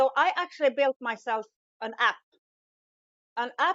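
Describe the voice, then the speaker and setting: Pitch varies in a normal way as the woman talks at a medium pace. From Sweden. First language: Swedish. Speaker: business coach, former truck driver. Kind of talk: podcast interview.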